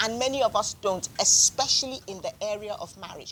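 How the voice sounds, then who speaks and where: A woman's fairly high, normal speaking voice, a normal speaking voice with lively intonation and a moderate pace. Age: 60s. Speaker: author and marriage counsellor. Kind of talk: book discussion interview. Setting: live event with audience.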